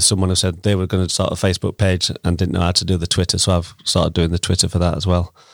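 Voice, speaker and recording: A man with a Yorkshire accent speaks in a very deep, low voice with flat, monotone intonation. The recording is very clean, dry and close, with a silent background and no echo. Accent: Sheffield Yorkshire English. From Sheffield, South Yorkshire, England. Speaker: community social media account runner. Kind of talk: casual chat. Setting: studio.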